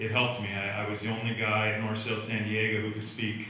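The recording has strong room echo and light background noise. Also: man. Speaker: guest. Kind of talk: talk answering a moderator's question. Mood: relaxed, smiling. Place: hall.

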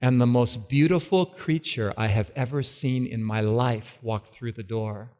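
With hardly any pauses, a man talks at a fairly slow pace in a dark, mellow tone, his medium pitch showing ordinary pitch variation. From California, US. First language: English (speaking Polish). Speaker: preacher. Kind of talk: sermon. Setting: stage with audience. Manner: slow, short phrases for interpreter.

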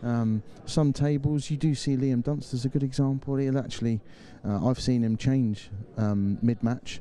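A man's voice has a dark, mellow tone. His pitch variation is ordinary. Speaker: studio pundit and pool analyst. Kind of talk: live sports commentary and studio analysis. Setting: studio at live event. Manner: fluent, explanatory, analytical.

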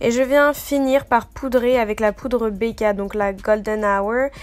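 Amid noticeable background noise, a woman speaks fairly slowly at a fairly high pitch with fairly even intonation. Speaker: beauty youtuber. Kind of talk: makeup tutorial. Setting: voice-over.

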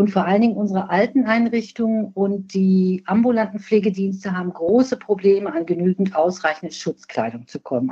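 This woman speaks at a moderate pace and medium pitch, her tone dark and mellow, somewhat breathy, with ordinary pitch variation. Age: 60s. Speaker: nursing scientist, professional association president. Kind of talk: podcast interview.

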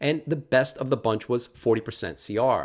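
There is a quiet background behind this man's speech. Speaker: presenter. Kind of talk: lecture.

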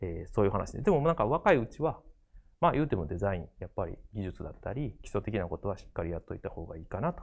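Against a quiet background, a somewhat breathy man talks at a fairly quick pace with very wide pitch swings. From Japan, Kobe (Kansai); Japan. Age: 40s. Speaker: graphic designer and art director; design lecturer. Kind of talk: lecture. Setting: studio. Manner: halting, many fillers. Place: studio. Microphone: lapel.

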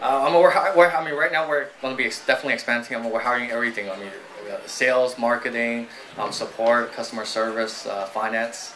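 A man speaks very fast, his pitch varying in an ordinary way, with light noise behind him. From United States (moved from Guangdong at age five). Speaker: startup founder and CEO; guest. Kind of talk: live onstage interview. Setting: stage with audience. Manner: quiet. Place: stage. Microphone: handheld.

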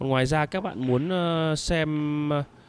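The sound is dry and close with no echo. Pitch variation is ordinary. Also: man. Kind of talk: live sports commentary on a pool match. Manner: animated, excitable, enthusiastic, praising shots; fast, flowing play-by-play with informal asides to viewers.

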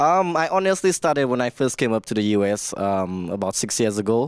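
With a quiet background and a dry sound with no echo, a man speaks at a fairly quick pace. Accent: Saint Lucian. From St. Lucia. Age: 20s. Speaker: soca singer and producer. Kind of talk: casual interview. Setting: radio studio. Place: studio. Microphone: handheld.

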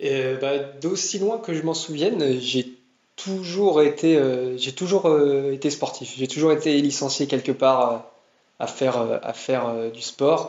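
A man's fairly high voice at a very slow pace. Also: ordinary pitch variation. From France, Tours. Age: 20s. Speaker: marathon runner and engineer. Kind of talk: casual interview. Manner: halting, many repetitions and fillers.

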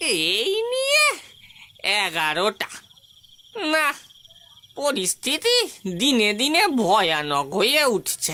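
This is a cartoonish character voice with a fairly high pitch. It moves at a very slow pace. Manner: anxious, cautious.

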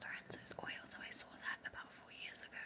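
A soft-spoken woman whispers at a moderate pace. Loud background noise is present. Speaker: vlogger. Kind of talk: casual vlog chat. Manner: soft close whisper. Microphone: webcam.

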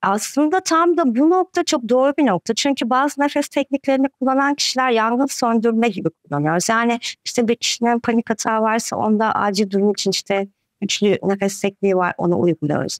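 A woman at a fairly quick pace with hardly any pauses, very wide pitch swings, and very even loudness, in a dry sound with no echo. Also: fairly high pitch for a woman, quiet background. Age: 40s. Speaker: breathing coach. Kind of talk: interview. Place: home room.

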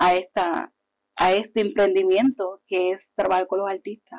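A woman speaks at a medium pitch over a quiet background. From Puerto Rico (Yabucoa), born in Hartford; Puerto Rico. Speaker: artist promoter and pageant queen; guest. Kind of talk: interview, casual chat. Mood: warm, animated. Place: studio. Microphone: lapel.

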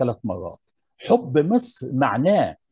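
In a dry sound with no echo and a quiet background, a man speaks very slowly with a dark, mellow, somewhat breathy tone. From Egypt. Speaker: architecture professor. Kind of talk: lecture. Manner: formal. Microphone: earbuds.

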